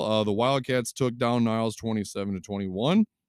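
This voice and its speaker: A man speaks with a Michigan accent at a medium pitch. He goes at a fairly quick pace with ordinary pitch variation. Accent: Midwestern US (Michigan). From southwest Michigan. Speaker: sports podcast host. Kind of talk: solo sports commentary podcast. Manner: casual, many fillers (um, uh).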